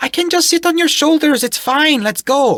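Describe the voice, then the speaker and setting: This put-on character voice is squeaky, with lively intonation, very even loudness, and a moderate pace. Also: woman. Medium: read story. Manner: haughty, confident, commanding.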